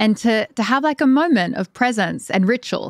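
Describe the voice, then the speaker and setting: With an Australian accent, a woman talks at a moderate pace with ordinary pitch variation, her voice dry and close with no echo on a very clean recording over a silent background. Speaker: author and meditation teacher. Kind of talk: podcast interview answer. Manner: playful, upbeat.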